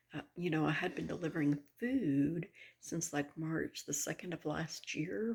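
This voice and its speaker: Soft-spoken with vocal fry, a woman speaks at a very deep, low pitch and fairly slow pace, her pitch varying in an ordinary way. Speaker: vlogger. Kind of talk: casual vlog monologue.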